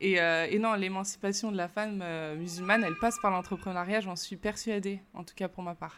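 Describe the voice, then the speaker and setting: A woman's medium-pitched voice at a fairly quick pace, with big swings in loudness, hardly any pauses, fairly even intonation and music in the background. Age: 30s. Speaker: entrepreneur and business coach. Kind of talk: interview. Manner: hesitant, with frequent fillers.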